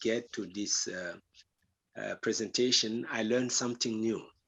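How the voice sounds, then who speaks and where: In a French accent, a man speaks at a fairly slow pace. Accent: French, non-native English. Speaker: meeting participant asking a question. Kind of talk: question at online meeting. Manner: halting.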